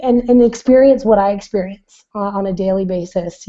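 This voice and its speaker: A woman with a dark, mellow tone speaks at a medium pitch and a moderate pace. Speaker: blogger and online business coach. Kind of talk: casual chat. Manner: halting, many fillers.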